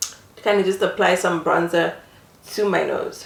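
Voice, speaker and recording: A woman with a non-native accent speaks at a fairly slow pace. Noticeable background noise can be heard. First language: not English. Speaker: beauty vlogger. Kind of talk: makeup tutorial. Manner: casual, many filler ums.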